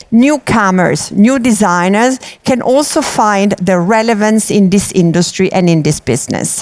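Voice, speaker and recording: A woman's fairly high voice in an Italian accent at a fairly slow pace. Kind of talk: conference talk.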